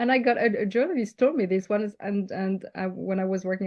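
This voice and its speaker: A woman talks at a very fast pace in a French accent. Her pitch varies in an ordinary way. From France. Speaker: leadership coach. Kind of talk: interview.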